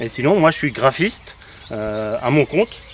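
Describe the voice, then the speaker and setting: A voice talks at a moderate pace over noticeable background noise. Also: man. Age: 40s. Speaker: graphic designer, travelling family father. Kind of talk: casual interview.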